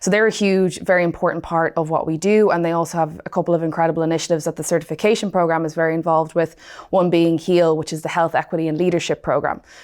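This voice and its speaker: A woman with a Dublin accent, fairly low pitch and flat, monotone intonation, speaking very fast. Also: hardly any pauses. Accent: Dublin Irish. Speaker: client success manager. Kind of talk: podcast interview.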